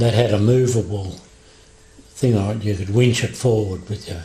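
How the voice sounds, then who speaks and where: This man's voice sits at a fairly low pitch. Fairly even intonation marks his delivery. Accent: Australian. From Western Australia. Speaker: former timber mill worker. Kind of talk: oral history interview answer.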